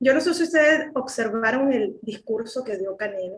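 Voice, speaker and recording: A woman with a Venezuelan accent at a moderate pace. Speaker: political commentator. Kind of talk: panel discussion. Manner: animated.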